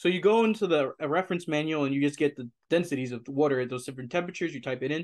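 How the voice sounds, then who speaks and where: The speech moves at a very fast pace with ordinary pitch variation. The background is quiet. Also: man. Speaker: engineering tutor. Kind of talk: tutorial. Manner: casual, swearing, rushed.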